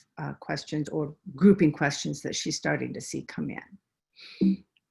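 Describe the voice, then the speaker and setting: With a Minnesotan accent, a woman speaks somewhat breathily at a moderate pace. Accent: Minnesota. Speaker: researcher presenting a webinar. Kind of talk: webinar presentation. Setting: video call from home.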